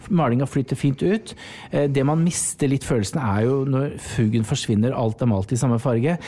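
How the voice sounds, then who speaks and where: In a normal speaking voice, a man talks at a moderate pace with a medium pitch, ordinary pitch variation and very even loudness. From Norway, rural farm upbringing. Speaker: interior design podcast co-host. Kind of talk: casual chat.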